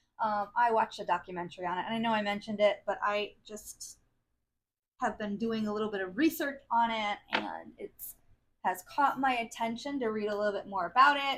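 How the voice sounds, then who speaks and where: A woman with a normal speaking voice, fairly high pitch, and lively intonation, in an American accent at a moderate pace. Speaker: craft video creator. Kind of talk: casual chat.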